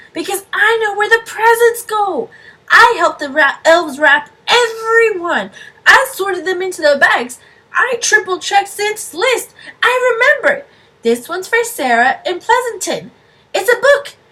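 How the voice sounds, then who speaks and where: Putting on a character voice, a woman speaks at a moderate pace with an extremely high pitch and very wide pitch swings. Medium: read story. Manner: eager.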